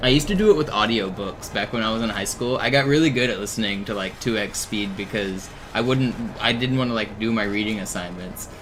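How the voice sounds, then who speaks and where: A man talks very fast at a medium pitch with ordinary pitch variation. Noticeable background noise and audible room echo come through. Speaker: video game streamer. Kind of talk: casual live stream chat.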